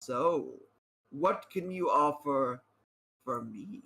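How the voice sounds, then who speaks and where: In a put-on character voice, the speaker sounds raspy and talks at a very slow pace with lively intonation. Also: man, fairly high pitch for a man. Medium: actual play. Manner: ominous, judging.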